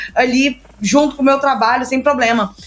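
A woman's high-pitched voice, very fast, with fairly even intonation. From Brazil, Minas Gerais. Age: 20s. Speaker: startup mentor and entrepreneur. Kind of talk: casual interview.

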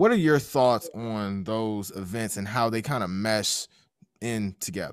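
A man with a plain, everyday voice speaks fairly slowly at a fairly low pitch, his pitch varying in an ordinary way. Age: 20s. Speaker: podcast host. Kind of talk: casual interview.

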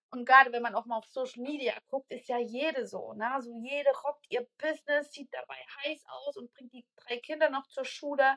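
A woman projects a raised, high-pitched voice with a bright, sharp tone at a moderate pace, barely pausing. Her intonation stays fairly even while her loudness swings widely, in a dry, close sound with no echo. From Saxony, near Dresden. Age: 20s. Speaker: podcast guest. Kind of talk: casual interview chat. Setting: video call.

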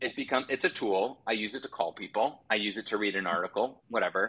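Speaking in an ordinary speaking voice, a man keeps a fairly quick pace, a medium pitch and ordinary pitch variation. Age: 30s. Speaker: nonprofit marketplace CEO. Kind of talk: casual chat.

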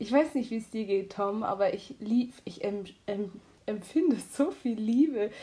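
A woman's fairly high, somewhat breathy voice with a dark, mellow tone and lively intonation, at a fairly slow pace with long, frequent pauses. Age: 20s. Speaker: high-sensitivity coach and student. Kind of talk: casual chat.

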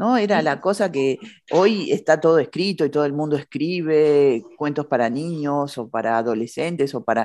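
A woman's very deep, low pitch with an Argentine accent, lively intonation, a dark, mellow tone and a moderate pace against a quiet background. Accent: Argentine Spanish (Rioplatense). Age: 50s. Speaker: podcast host. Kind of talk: casual interview chat.

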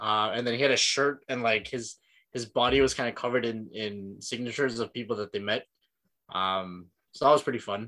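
A man speaks at medium pitch with a Filipino accent and a bright, sharp tone. His pace is moderate, and the recording is very clean with a silent background. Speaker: podcast co-host. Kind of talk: casual chat.

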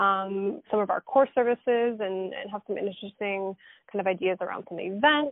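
A woman talks in a normal speaking voice at medium pitch. She keeps a moderate pace with ordinary pitch variation and hardly any pauses. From Alberta, Canada. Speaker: podcast host, recruitment company CEO. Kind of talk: casual interview. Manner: laughs often.

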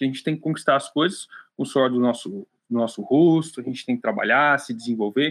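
Very fast speech from a man at medium pitch, ordinary pitch variation, in a very clean recording with a silent background. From interior of São Paulo state, Brazil (Piedade). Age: 20s. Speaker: salesman. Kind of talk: interview.

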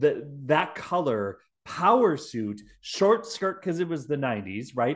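A man with a Wisconsin accent speaks at a fairly slow pace and a fairly high pitch. His tone is animated, with very wide pitch swings. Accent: Wisconsin Midwestern. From Milwaukee, Wisconsin. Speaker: podcast host. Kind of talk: casual comedic podcast chat. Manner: animated, joking.

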